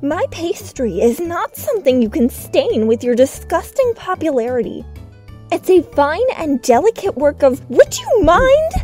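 Faint music plays behind a man doing a put-on character voice at an extremely high pitch and a moderate pace. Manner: stern, irritated.

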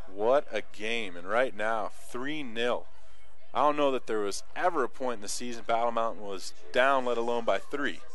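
The speech moves at a moderate pace with a dry sound, no echo, and faint music in the background. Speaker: play-by-play sports announcer. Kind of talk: live sports commentary, play-by-play.

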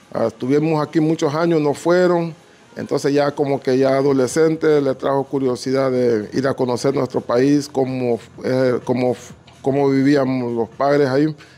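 Speaking at a moderate pace, a man uses a fairly high pitch, fairly even intonation and very even loudness. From Honduras, Garifuna community on north coast. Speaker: entrepreneur; interviewee. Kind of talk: interview. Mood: reflective, nostalgic. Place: home room. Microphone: handheld.

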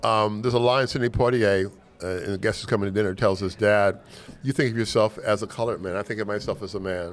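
Very fast speech from a man with an American accent, fairly low pitch and fairly even intonation. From Los Angeles, US. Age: 70s. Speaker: lawyer and business mentor; lawyer. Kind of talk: casual interview conversation. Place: studio. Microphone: studio mic.

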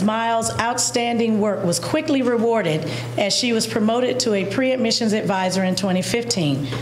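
Music in the background and audible room echo come through as a woman speaks. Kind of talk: formal reading of a resolution. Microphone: podium.

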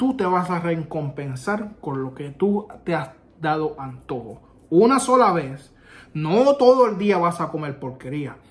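Speaking with a Puerto Rican accent, a man uses a high pitch at a fairly slow pace. His pitch swings very widely. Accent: Puerto Rican accent in Spanish, rusty Spanish. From Puerto Rico. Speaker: army veteran YouTuber; vlogger. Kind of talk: casual vlog; casual vlog chat. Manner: halting, with self-corrections. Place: home room. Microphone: phone near.

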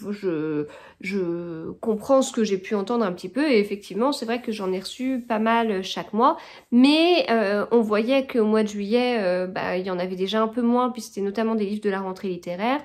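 A woman talks with lively intonation at a fairly high pitch. The background is quiet. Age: 30s. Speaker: book vlogger. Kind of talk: casual vlog talk to camera. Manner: hesitant, many filler sounds. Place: home room. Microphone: phone near.

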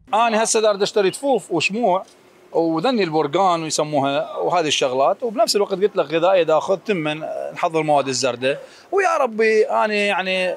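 A man at a moderate pace, dry sound without echo, and light background noise. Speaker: interviewee. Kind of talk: interview answer. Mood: calm, hopeful. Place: market. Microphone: handheld.

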